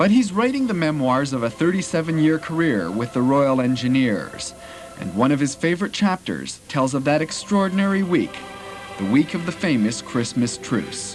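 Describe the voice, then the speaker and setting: Music plays in the background as a man with a fairly high pitch speaks at a moderate pace, his pitch swinging very widely. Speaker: TV news reporter. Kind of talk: TV news report.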